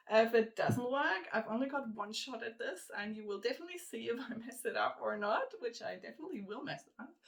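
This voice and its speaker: A woman talks at a very fast pace with hardly any pauses and big swings in loudness. Her pitch is fairly high, and there is noticeable background noise. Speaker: jigsaw puzzle video creator. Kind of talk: casual vlog tutorial.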